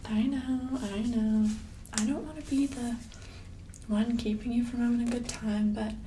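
Soft-spoken and gentle in tone, a woman talks at a high pitch in a monotone with flat intonation, leaving long, frequent pauses over light background noise. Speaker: ASMR creator; ASMR roleplay creator. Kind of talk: asmr roleplay whisper; soft-spoken roleplay to viewer. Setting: home bathroom roleplay. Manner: soft-spoken, gentle, caring, nurturing tone; slow and intimate, hushed with sighs and soft laughs. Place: home room.

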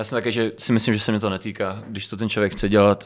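Over a quiet background, a man talks very fast at a fairly low pitch in a monotone, flat intonation. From Moldova, raised in Czech Republic from age 4. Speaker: rapper and singer; podcast guest. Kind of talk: casual interview. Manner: hesitant, filler-heavy. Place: studio. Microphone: studio mic.

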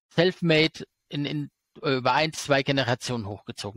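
Against a quiet background, a man with a normal speaking voice talks in a fairly high pitch with lively intonation, the sound dry with no echo. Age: 40s. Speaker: stock market expert and YouTuber; interview guest. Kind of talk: interview. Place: home room. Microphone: headset.

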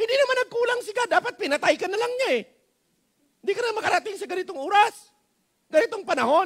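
A man with a Filipino accent, extremely high-pitched, very fast and animated, lively in intonation, with long, frequent pauses over a quiet background. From Philippines. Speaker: pastor. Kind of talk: sermon. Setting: church. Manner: animated, exhortative, pleading with the congregation; Taglish, folksy and humorous, with repeated rhetorical questions and frequent 'Amen?'. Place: church. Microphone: headset.

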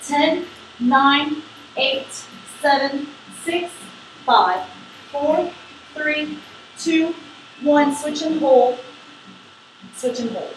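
A woman with a high pitch speaks very slowly in an upbeat tone, with ordinary pitch variation and long, frequent pauses. Light background noise and audible room echo are present. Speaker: yoga instructor. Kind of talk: guided yoga class with brisk core-workout countdown cues. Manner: encouraging, upbeat coaching with short praise words. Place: home room. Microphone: camera far.

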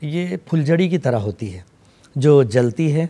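A dark, mellow tone with very wide pitch swings. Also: man. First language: Urdu (speaking Hindi). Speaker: poet and writer, Hindi lecturer; poet, Hindi lecturer. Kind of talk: TV interview. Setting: studio. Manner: formal. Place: studio. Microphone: lapel.

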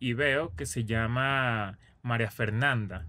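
The voice has a bright, sharp tone and moves at a slow pace. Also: man, medium pitch for a man, ordinary pitch variation.

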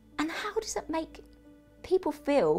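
Faint music plays in the background as a woman talks at a fairly slow pace. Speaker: vlogger. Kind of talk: casual vlog chat. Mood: frustrated, emotional. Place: home room.

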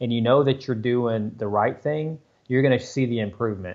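With fairly even intonation, a man goes at a fairly quick pace over a quiet background. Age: 40s. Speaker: amateur marathon runner. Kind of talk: podcast interview answer. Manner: casual, conversational. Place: home room. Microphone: earbuds.

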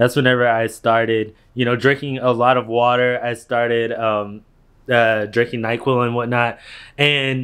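Over a quiet background, a man speaks at a moderate pace in a flat monotone. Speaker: vlogger. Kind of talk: casual vlog chat. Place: home room. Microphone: phone near.

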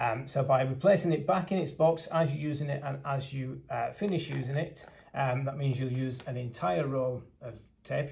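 Vocal fry runs through a man's speech, which has ordinary pitch variation. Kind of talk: product demonstration. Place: meeting room. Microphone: phone near.

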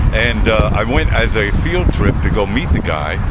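A man with an American accent speaks over loud background noise, the sound dry with no echo. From Brooklyn, New York. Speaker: radio announcer. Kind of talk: interview answer. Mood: warm, reflective. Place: street.

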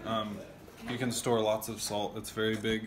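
A man's fairly low voice with little pitch movement at a moderate pace, over faint background noise

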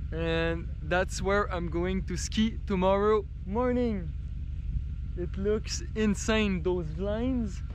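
Over music in the background, a man's voice comes through dry, with no echo. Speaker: travel vlogger. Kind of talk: casual vlog chat. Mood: excited, cheerful. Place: open country. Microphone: phone near.

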